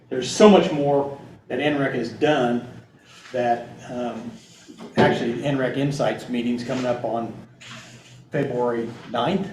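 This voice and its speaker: Speaking with an American accent at a fairly slow pace, a man with medium pitch and ordinary pitch variation leaves long, frequent pauses, with audible room echo and noticeable background noise around him. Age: 60s. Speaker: agronomist. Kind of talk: presentation Q&A. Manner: halting.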